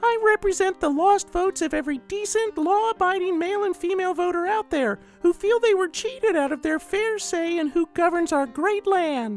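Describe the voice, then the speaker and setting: A squeaky put-on character voice at a moderate pace. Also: woman. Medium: read story. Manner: earnest, rhetorical.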